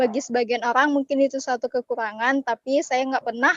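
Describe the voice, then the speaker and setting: A woman speaks in a high pitch. Her intonation is fairly even. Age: young. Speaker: workshop participant. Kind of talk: reading own self-introduction.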